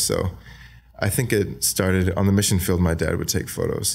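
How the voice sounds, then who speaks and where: Soft-spoken, a man talks in a very deep, low pitch. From Australia. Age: 20s. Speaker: videographer, film company owner. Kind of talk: podcast interview answer.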